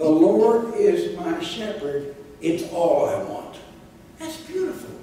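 A man's voice in strong room echo, with light background noise. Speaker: preacher. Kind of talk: sermon. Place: church.

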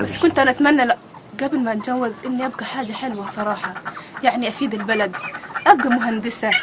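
Through noticeable background noise, a woman speaks at a high pitch with fairly even intonation. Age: 20s. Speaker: divorced mother. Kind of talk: interview answer.

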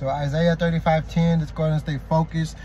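Noticeable background noise with a dry sound and no echo. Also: man. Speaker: prayer leader / religious vlogger. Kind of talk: prayer and scripture reading. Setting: video, talking to camera to viewers. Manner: halting, with many restarts and repetitions. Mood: upbeat, devotional. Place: car. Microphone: phone near.

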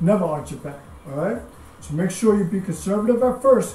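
In a room with audible echo and light background noise, a man talks at a moderate pace with an upbeat tone. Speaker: fitness instructor. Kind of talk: live-cued bodyweight and dumbbell workout class instruction, counting reps. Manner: upbeat, steady motivating tone, doubling each phrase. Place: home room. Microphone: camera far.

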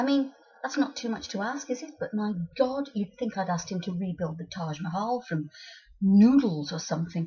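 Speech moves at a fairly quick pace. Its pitch rises and falls across a very wide range. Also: woman. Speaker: storyteller. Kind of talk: comic monologue. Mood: exasperated, wry humour. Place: home room. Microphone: webcam.

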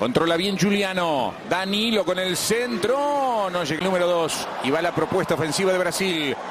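A man with a high pitch and ordinary pitch variation talks against noticeable background noise. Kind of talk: live sports commentary. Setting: broadcast booth at stadium. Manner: fast, excitable play-by-play delivery with rising intensity at chances and goals; clipped, breathless staccato phrases.

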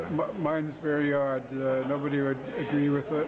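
Moderate pace and fairly even intonation in a Canadian accent, with noticeable background noise. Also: man. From Ontario, Canada. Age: 60s. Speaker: amateur marathon runner. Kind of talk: interview answer. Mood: friendly, smiling. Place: hall. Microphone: phone near.

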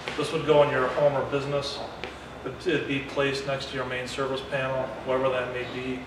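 Amid noticeable background noise and audible room echo, a man speaks at a moderate pace with monotone, flat intonation. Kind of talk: interview answer. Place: factory.

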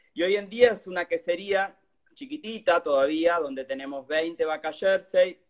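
A high-pitched man's voice with lively intonation over a quiet background. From Argentina. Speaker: cheesemaker and cook; interviewee. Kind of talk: casual chat. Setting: live stream video. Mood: relaxed, friendly. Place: home room. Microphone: phone near.

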